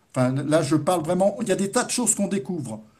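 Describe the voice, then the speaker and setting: A man's high pitch with a dark, mellow tone and lively intonation. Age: 60s. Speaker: patient association president. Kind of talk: webinar talk. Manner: halting.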